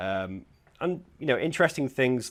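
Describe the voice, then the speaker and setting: Words come at a very fast pace from a man. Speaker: software security consultant giving a tech talk. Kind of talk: conference talk / lecture. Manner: hesitant with many fillers.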